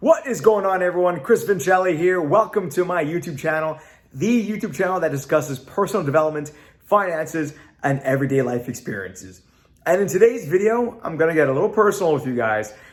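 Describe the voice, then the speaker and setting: At a very fast pace, a man talks in a high pitch with lively intonation. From Canada. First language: Italian. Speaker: YouTuber. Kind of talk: vlog to camera. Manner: casual with frequent fillers (uh).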